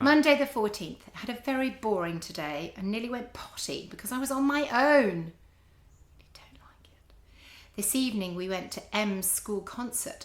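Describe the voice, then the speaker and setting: Her intonation is lively and her loudness swings widely as this woman, in a normal speaking voice, talks at a moderate pace and a fairly high pitch. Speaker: podcast host. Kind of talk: reading own teenage diary aloud.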